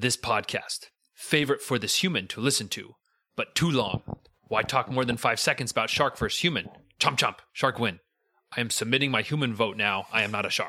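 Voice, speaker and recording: A man puts on a gruff character voice at a medium pitch, talking at a fairly quick pace. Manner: gruff reading of a listener comment.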